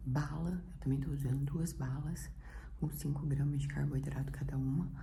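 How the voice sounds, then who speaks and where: Soft-spoken, a woman is heard through audible room echo and noticeable background noise. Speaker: vlogger. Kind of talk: casual vlog talk. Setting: at home in apartment. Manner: soft-spoken, speaking quietly.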